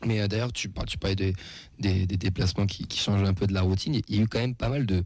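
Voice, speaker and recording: Somewhat breathy and fairly low-pitched, a man speaks with ordinary pitch variation in a very clean recording over a silent background. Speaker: radio host and football supporter. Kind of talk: casual radio talk show. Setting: radio studio.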